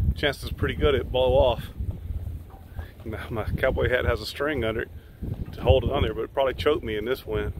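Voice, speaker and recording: A man talks at a very fast pace in a dry sound with no echo, with noticeable background noise. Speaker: RV vlogger. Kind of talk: casual vlog chat. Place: street. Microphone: phone near.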